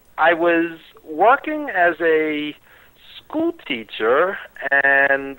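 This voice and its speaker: A man's high, bright, sharp voice in a New York accent, at a very slow pace with long, frequent pauses. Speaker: wrestling radio host and producer. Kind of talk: interview.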